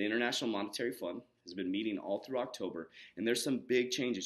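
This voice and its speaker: Medium pitch from a male speaker. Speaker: health and mindset coach. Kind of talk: casual vlog explainer. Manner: fast.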